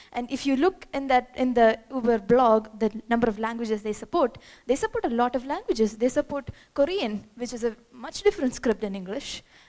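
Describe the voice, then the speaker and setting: A woman with a Keralan accent speaks at a high pitch and a fairly quick pace, her intonation lively. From India, Kerala. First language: Malayalam. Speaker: software developer, conference speaker. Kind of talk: conference talk. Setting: stage with audience. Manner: animated.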